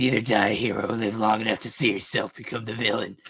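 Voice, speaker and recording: A man uses a raspy put-on character voice at a medium pitch. He talks very fast with monotone, flat intonation. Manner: grim, dramatic.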